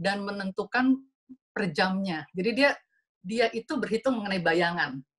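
A woman's lively intonation over a quiet background. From Indonesia. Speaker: design director and co-founder of an art and design event; speaker. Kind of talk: slide presentation. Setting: video call webinar. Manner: fast. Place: home room. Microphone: video call.

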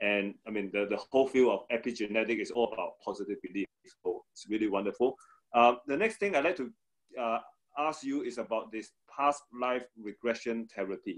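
The speech comes at a fairly quick pace in an unremarkable speaking voice. Pitch varies in an ordinary way. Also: man, medium pitch for a man. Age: 40s. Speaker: podcast host. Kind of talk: interview. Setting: video call.

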